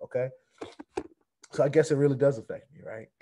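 This man talks at a fairly quick pace, his tone dark and mellow. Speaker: crypto YouTuber. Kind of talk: casual vlog rant. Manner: fired-up, emphatic. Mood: irritated, defiant. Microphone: webcam.

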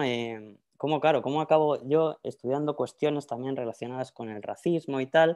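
With a Madrid accent, a man speaks in a dark, mellow tone at a fairly high pitch with ordinary pitch variation. He keeps a moderate pace with hardly any pauses against a quiet background. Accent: Spanish from Spain (Madrid). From Spain, Madrid. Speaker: academic researcher; panelist. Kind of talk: lecture. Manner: halting, with fillers and repetitions. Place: home room. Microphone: earbuds.

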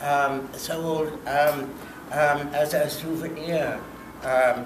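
Over music in the background, a man speaks in a fairly high pitch with flat, monotone intonation. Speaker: artist. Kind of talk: conversation at a public talk. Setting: public event at a library. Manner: hesitant, many fillers. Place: hall. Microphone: handheld.

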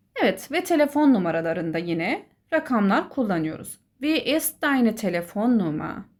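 A woman speaks at a moderate pace with very wide pitch swings, in a very clean recording with a silent background. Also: fairly high pitch for a woman. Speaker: German teacher. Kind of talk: tutorial. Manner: instructive, clear.

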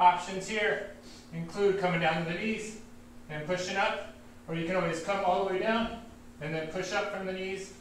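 A man talks at a fairly quick pace in a high voice. Light background noise and audible room echo are present. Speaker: fitness instructor. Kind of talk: workout class instruction. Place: gym. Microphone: webcam.

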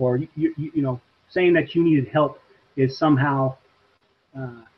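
A man is talking. There is some breathiness to his voice. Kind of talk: interview answer. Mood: earnest, reflective. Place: home room. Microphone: video call.

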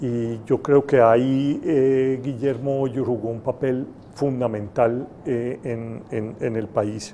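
Over light background noise, the speech moves at a very slow pace with hardly any pauses and a monotone, flat intonation. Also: man. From Colombia. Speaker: university rector. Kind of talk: panel discussion. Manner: halting, many fillers. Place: classroom. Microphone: handheld.

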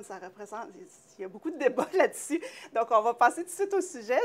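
The speaker is female. Her voice leaps between very high and very low notes. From Quebec. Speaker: TV talk show host. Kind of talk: casual interview. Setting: studio. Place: studio. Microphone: lapel.

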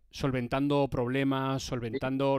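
At a fairly slow pace, a man talks with a fairly high pitch in a dry recording that has no echo. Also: quiet background. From Spain. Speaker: motorsport presenter and streamer; presenter, streamer. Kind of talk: live-stream interview. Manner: animated. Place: home room. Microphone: headset.

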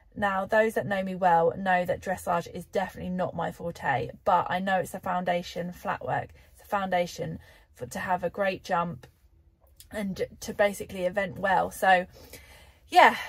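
Against a quiet background, a woman talks with vocal fry. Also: moderate pace. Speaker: horse rider vlogger. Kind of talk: casual vlog chat. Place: car. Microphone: phone near.

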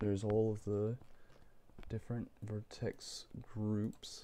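Quiet and dark, mellow in tone, a man speaks with a fairly low pitch in a flat monotone at a very slow pace, with long, frequent pauses. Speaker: game developer. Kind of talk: software tutorial narration. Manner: low, quiet late-night voice.

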